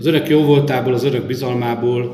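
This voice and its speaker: Music plays in the background as a man speaks at medium pitch. His pace is fairly slow, and audible room echo surrounds him. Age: 50s. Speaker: local councillor and election candidate. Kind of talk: campaign speech. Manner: formal.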